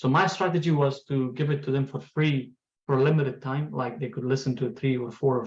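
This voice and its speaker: His voice carries some breathiness. This man talks at a fairly quick pace. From Afghanistan. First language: Pashto and Farsi. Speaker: tech entrepreneur. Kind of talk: lecture.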